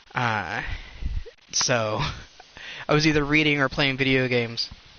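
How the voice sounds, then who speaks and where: A man speaks at a moderate pace with ordinary pitch variation and very even loudness, with noticeable background noise behind him. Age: 30s. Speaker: video game streamer. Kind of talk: casual chat.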